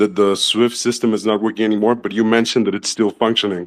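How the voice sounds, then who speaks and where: Spoken very fast with a Spanish accent, the voice keeps a flat, monotone intonation. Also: man. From Mexico. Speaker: audience member asking question. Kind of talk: question from audience. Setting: online audio room.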